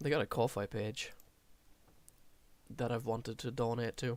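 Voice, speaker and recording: In an Irish accent, a man talks at a medium pitch and moderate pace with fairly even intonation. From Ireland. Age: 20s. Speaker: gaming streamer. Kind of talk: casual gameplay commentary.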